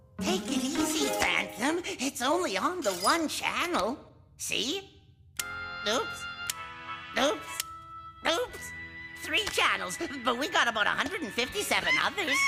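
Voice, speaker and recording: A cartoonish character voice moves at a fairly slow pace over clear music in the background. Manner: casual, laid-back.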